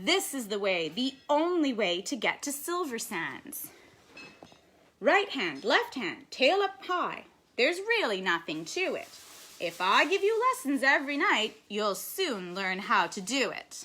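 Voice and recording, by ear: A woman's put-on character voice, fairly high in pitch, bright and sharp in tone, with big pitch swings at a fairly slow pace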